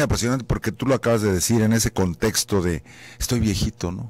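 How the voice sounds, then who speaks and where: A man with an unremarkable speaking voice talks at a fairly quick pace and fairly low pitch. The sound is dry with no echo. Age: 60s. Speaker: anesthesiologist, professor. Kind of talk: radio interview, explaining. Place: studio. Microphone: studio mic.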